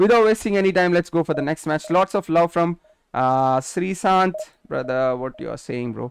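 With an Indian accent, a man talks at a moderate pace in a high pitch, his intonation lively and the sound dry and close with no echo. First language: Telugu. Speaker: gaming streamer. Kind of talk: live gaming stream commentary. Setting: live stream. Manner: animated.

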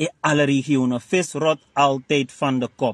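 A man speaks in an animated tone with a Surinamese accent. The sound is dry with no echo, and the background is quiet. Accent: Surinamese Dutch. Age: 40s. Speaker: party spokesman and director; party spokesman. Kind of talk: interview monologue. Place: car.

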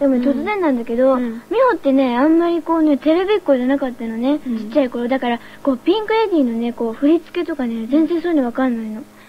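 A woman's high, very fast voice with lively intonation and hardly any pauses, over light background noise. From Japan. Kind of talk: radio show banter between idol group members. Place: studio. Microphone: old recording.

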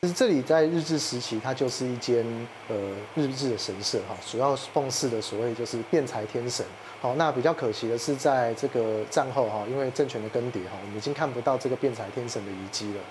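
A man talks at a fairly quick pace. Noticeable background noise runs underneath. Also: ordinary pitch variation. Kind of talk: interview answer. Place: tunnel cave. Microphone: lapel.

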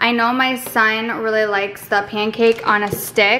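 Here a woman is speaking. Her pace is fairly slow. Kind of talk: casual vlog chat. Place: home room. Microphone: camera far.

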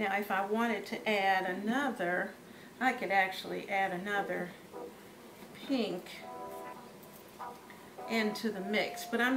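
With clear music in the background, a woman speaks at a fairly slow pace, her intonation fairly even and her pauses long and frequent. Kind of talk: tutorial. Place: kitchen.

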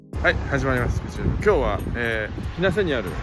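Music plays in the background as a man speaks with a dry sound and no echo. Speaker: vlogger. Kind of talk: casual vlog chat. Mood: cheerful, looking forward. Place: street. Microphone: phone near.

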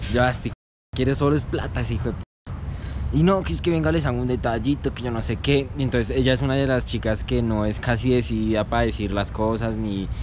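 A man speaks at a fairly quick pace in an animated tone, his voice dry with no echo against noticeable background noise. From Colombia, Soacha (Bogotá area). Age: 20s. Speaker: vlogger. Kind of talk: casual vlog. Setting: outdoors. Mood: joking, slangy, relaxed. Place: forest. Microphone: phone near.

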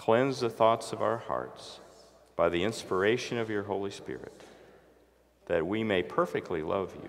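With vocal fry and lively intonation, a man speaks. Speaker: bishop giving sermon. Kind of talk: sermon at a Maundy Thursday service. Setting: church.

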